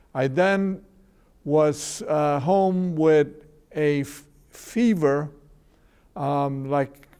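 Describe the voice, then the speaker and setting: Fairly even intonation and a dark, mellow tone from a man. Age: 70s. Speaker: legal services director. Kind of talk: interview.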